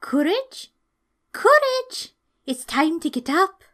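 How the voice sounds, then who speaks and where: In a put-on character voice, a woman talks very slowly at an extremely high, squeaky pitch with very wide pitch swings. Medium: read story.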